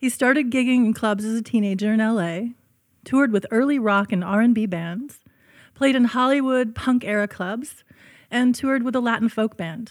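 On a very clean recording with a silent background, a woman with an unremarkable speaking voice talks at a moderate pace, her fairly high pitch showing ordinary variation. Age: 50s. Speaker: podcast host. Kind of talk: scripted intro reading; casual interview chat.

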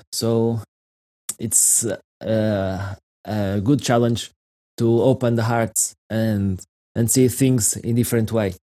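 Speaking with a Portuguese accent, a man uses a medium pitch and a monotone, flat intonation. His tone is dark and mellow, and his pace is very slow. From Portugal. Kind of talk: interview conversation. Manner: halting.

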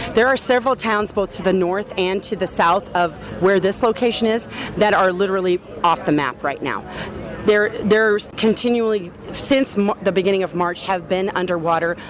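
At a moderate pace, a woman speaks at a medium pitch with ordinary pitch variation over noticeable background noise. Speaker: community foundation representative. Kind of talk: interview.

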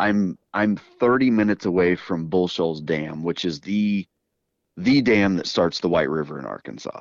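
A man with an unremarkable speaking voice, fairly low pitch, ordinary pitch variation and moderate pace against a quiet background. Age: 40s. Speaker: fly tying video creator and former fishing guide. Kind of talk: casual chat.

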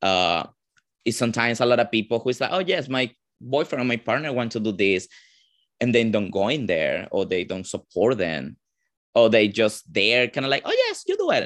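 A man with a Venezuelan accent talks at a moderate pace in a medium pitch, his intonation lively against a quiet background. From Venezuela, Caracas. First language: Spanish. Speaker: drag performer. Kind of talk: interview.

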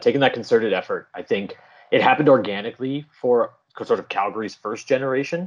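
A man with a Canadian accent at medium pitch, very fast pace and ordinary pitch variation. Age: 30s. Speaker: parkour coach. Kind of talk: casual chat.

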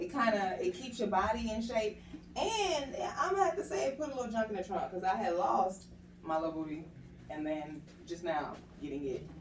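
Audible room echo and noticeable background noise surround a woman speaking with lively intonation at a moderate pace. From Atlanta. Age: 30s. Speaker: actress and youth arts foundation founder. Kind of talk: interview conversation. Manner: proper, polished speech.

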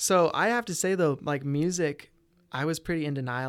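An American accent marks this man's ordinary speaking voice, with ordinary pitch variation on a very clean recording with a silent background. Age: 20s. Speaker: musician and real estate wholesaler. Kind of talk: casual interview chat.

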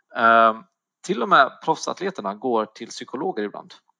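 A man with a bright, sharp tone, recorded with a dry, close sound and no echo. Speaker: personal trainer sharing eating disorder story. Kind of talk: interview, personal testimony. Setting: online call.

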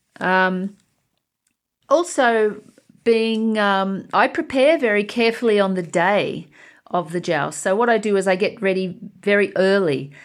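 A very clean recording with a silent background, in an Australian accent. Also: woman. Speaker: jouster and school teacher. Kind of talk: interview.

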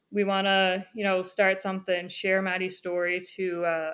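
A woman speaks in a Newfoundland accent. Her pace is moderate. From Newfoundland, Conception Bay South. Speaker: former student athlete and hockey coach. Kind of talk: interview, casual chat.

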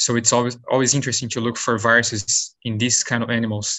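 A man with a Brazilian accent at a medium pitch, fairly quick and monotone, with flat intonation. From Brazil, São Paulo state. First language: Portuguese. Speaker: postdoctoral virologist. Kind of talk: interview. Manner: halting.

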